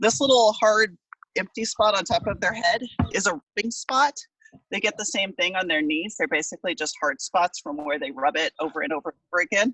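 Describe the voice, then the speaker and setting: A loud, fairly high woman's voice at a fairly quick pace, with very wide pitch swings. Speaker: small backyard farmer showing animals to a class. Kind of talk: live tour and demonstration for students. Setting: video call outdoors in backyard.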